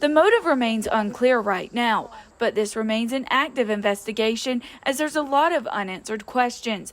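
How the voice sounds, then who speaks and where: A woman speaks in a normal speaking voice at a moderate pace, fairly high in pitch with ordinary pitch variation. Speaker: local TV news reporter. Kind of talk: television news reporter package.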